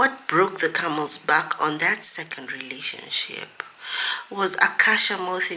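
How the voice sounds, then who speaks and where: A woman whispers in a husky, put-on character voice. She goes at a fairly slow pace. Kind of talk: audiobook reading of a romance novel. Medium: read story. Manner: dry, wry narration.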